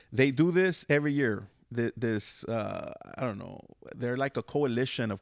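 An unremarkable speaking voice, a man with an American accent talks at a moderate pace and medium pitch with ordinary pitch variation, in a very clean, dry and close recording with a silent background and no echo. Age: 50s. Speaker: podcast host. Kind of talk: casual interview chat.

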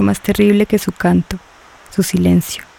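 The delivery has a dramatic tone at a fairly slow pace. Noticeable background noise runs underneath. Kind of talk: scripted narration. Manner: dramatic, measured storytelling, hushed and ominous on the sirens' silence; slow, rapt and tense, lingering on the sirens' gestures.

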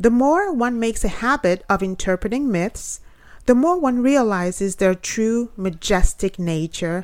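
Using an unremarkable speaking voice, a woman at a medium pitch talks at a fairly slow pace with lively intonation. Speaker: poet and podcast host. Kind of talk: reading aloud of her own essay, retelling a Norse myth in literary prose. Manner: measured, storytelling cadence; earnest, reflective, slightly lecturing.

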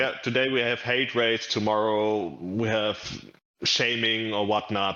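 With a German accent, a man speaks at a fairly low pitch, keeping his intonation fairly even and his loudness very even. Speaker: gamer. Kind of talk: casual chat.

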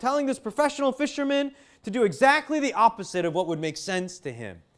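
Loud and animated, the voice races at a very fast pace with lively intonation in a very clean recording with a silent background. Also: man. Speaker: preacher. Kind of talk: sermon.

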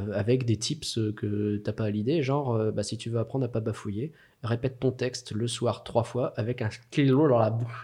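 Somewhat breathy and dark, mellow in tone, a man speaks at a moderate pace and medium pitch with fairly even intonation. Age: 30s. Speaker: social media manager. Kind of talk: casual interview conversation.

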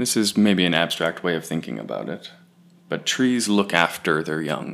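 A man speaks with a very deep, low pitch, a warm tone and lively intonation. Vocal fry runs through his voice. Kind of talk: poetry reading aloud, relaxed and reflective. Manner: warm, casual, with a laugh between poems.

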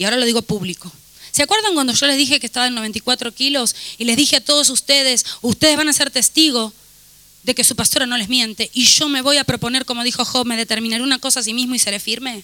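Delivered at a very fast pace, the speech has an animated tone and a dry, close sound with no echo. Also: woman, high pitch for a woman, ordinary pitch variation. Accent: Rioplatense. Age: 40s. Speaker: pastor. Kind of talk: sermon. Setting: church.

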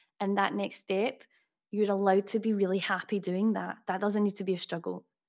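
A woman talks at a fairly quick pace with a medium pitch. Her intonation stays monotone and flat. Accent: Glaswegian. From Scotland, Glasgow. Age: 30s. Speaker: music producer and singer-songwriter. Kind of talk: interview.

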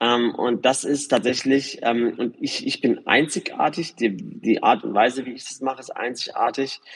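A man speaks at a moderate pace with hardly any pauses. His loudness swings widely. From Germany, Karlsruhe region. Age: 40s. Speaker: real estate developer and former DJ. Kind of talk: interview. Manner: hesitant, many filler sounds.

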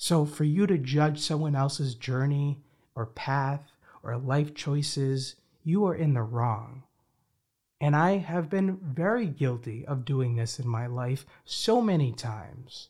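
Somewhat breathy, a man speaks in a fairly high voice with ordinary pitch variation. He talks at a very slow pace. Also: very clean recording, silent background. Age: 20s. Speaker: podcast host. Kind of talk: motivational monologue.

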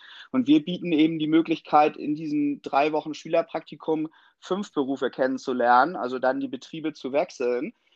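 Over a quiet background, a man with a fairly high pitch talks at a moderate pace, the sound dry and close with no echo. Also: ordinary pitch variation. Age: 30s. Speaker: plumbing and heating master craftsman. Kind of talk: interview. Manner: hesitant, many filler sounds.

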